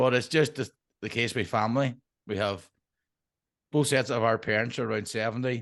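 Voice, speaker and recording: Speaking in a Derry accent, a man keeps a fairly quick pace at medium pitch with fairly even intonation. He leaves long, frequent pauses against a quiet background. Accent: Northern Irish (Derry). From Northern Ireland, Derry. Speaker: permaculture designer. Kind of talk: interview.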